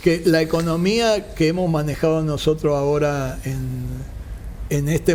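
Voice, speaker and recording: Noticeable background noise and audible room echo fill the recording. The speech moves at a fairly slow pace. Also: man. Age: 60s. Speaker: construction company founder, engineer. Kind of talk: interview.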